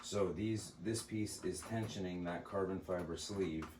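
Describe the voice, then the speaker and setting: A soft-spoken man talks at a moderate pace with a very deep, low pitch and fairly even intonation. Room echo is audible. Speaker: airgun hobbyist. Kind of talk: tutorial.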